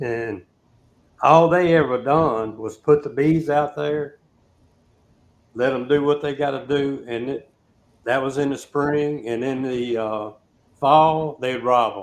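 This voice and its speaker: A man with a fairly high-pitched voice speaks at a very slow pace, with ordinary pitch variation and long, frequent pauses. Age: 60s. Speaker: beekeeper. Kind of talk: casual chat.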